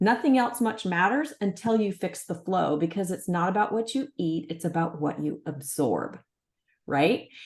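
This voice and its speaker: Somewhat breathy and medium in pitch, a woman speaks at a moderate pace with lively intonation. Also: quiet background. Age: 60s. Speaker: natural health entrepreneur. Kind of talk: interview conversation.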